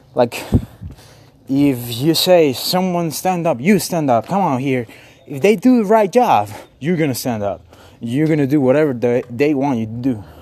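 A man's fairly high voice at a moderate pace, lively in intonation, over noticeable background noise. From Mexico. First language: Spanish. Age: 20s. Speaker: podcaster and theater artist. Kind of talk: casual monologue. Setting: walking outdoors in the street. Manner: rambling, halting with fillers.

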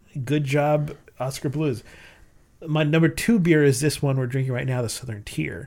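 This man has a normal speaking voice with a fairly high pitch and ordinary pitch variation. He talks at a moderate pace in a very clean recording with a silent background. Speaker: beer podcast host. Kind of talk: casual chat, beer tasting.

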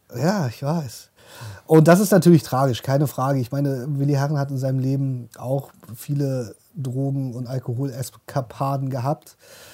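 At a moderate pace, a man with a fairly high pitch speaks in a dark, mellow, somewhat breathy tone with fairly even intonation. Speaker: podcast co-host. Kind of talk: casual chat.

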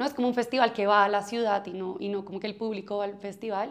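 Her pitch is fairly high and her intonation fairly even. The woman talks at a fairly quick pace. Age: 30s. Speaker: music festival marketing executive. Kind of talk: interview. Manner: halting.

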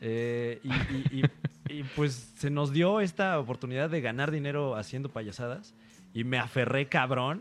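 At a fairly slow pace, a man with an ordinary speaking voice talks at a medium pitch, with ordinary pitch variation. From Mexico. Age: 30s. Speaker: stand-up comedian. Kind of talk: casual chat. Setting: hotel room.

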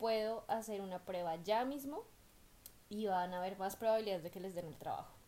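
A woman with a Colombian accent speaks at a moderate pace in a dark, mellow tone with ordinary pitch variation. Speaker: podcast co-host, migrant worker. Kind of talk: casual chat.

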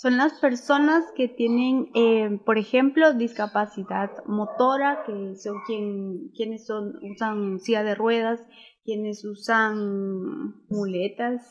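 At a very slow pace with hardly any pauses, a woman speaks at a fairly high pitch with ordinary pitch variation. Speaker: inclusive educator. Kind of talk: casual chat. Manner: loud.

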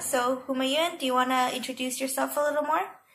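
Noticeable background noise runs under this recording. A woman speaks in a high pitch. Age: 20s. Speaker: student podcast host. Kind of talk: casual interview.

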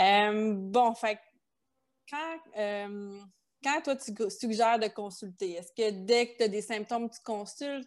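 Over a quiet background, a woman with a Quebec accent talks in a fairly high pitch with fairly even intonation. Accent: Québécois French. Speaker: podcast host, kinesiologist. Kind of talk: interview.

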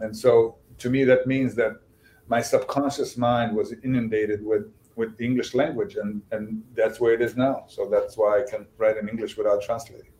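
At a moderate pace, a man with a Bosnian accent speaks at a medium pitch with fairly even intonation. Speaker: novelist and screenwriter. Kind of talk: interview.

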